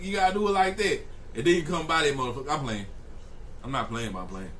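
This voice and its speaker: Speaking at a very fast pace with long, frequent pauses, a man uses a fairly high pitch with very wide pitch swings and big swings in loudness, amid noticeable background noise and audible room echo. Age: 20s. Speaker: streamer reacting to news videos. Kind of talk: live stream reaction commentary. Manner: animated.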